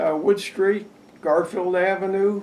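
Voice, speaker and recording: With an American accent, a man speaks at a high pitch and a very slow pace. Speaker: local elder interviewee. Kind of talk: oral history interview.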